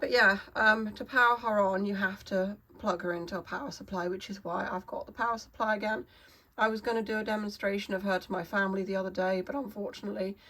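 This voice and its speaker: Very fast in pace, a woman talks at a medium pitch. Her pitch varies in an ordinary way. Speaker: artist and YouTuber. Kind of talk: casual talk to camera. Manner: hesitant, many fillers.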